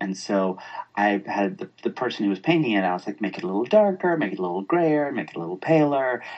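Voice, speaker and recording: Speaking with an American accent, a man's voice moves in very wide pitch swings. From US South, Atlanta, Georgia. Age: 40s. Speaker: interior designer. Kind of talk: casual interview.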